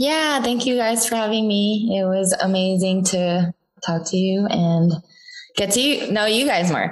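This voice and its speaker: A woman with an American accent and a normal speaking voice speaks at medium pitch and a fairly slow pace, with ordinary pitch variation and very even loudness. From US West Coast. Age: 30s. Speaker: TikTok content creator. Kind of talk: casual interview chat.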